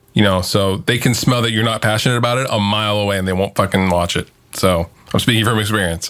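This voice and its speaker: A man's fairly low-pitched voice, very fast, with fairly even intonation. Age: 30s. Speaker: YouTuber and guitarist. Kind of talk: casual chat.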